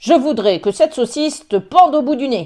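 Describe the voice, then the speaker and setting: A put-on, growling character voice at a high pitch and moderate pace. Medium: read story.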